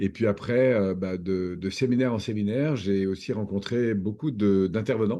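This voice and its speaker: A man's dark, mellow tone at a fairly low pitch, with ordinary pitch variation, a moderate pace and a quiet background. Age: 60s. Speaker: personal development trainer and coach. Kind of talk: interview. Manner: hesitant, many fillers.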